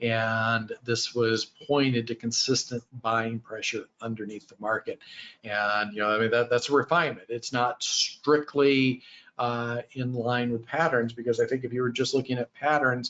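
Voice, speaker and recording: A man with a medium pitch holds his intonation fairly even and talks at a moderate pace. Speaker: trading educator. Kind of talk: lecture. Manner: halting, frequent fillers and restarts.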